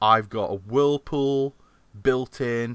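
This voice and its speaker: A man with a Yorkshire accent and ordinary pitch variation. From Yorkshire, England. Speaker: podcast host. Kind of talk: casual chat.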